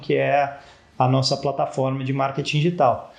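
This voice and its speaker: In a somewhat breathy voice, a man talks at a moderate pace. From Brazil, São Paulo state (Campinas). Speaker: startup founder, engineer. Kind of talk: interview.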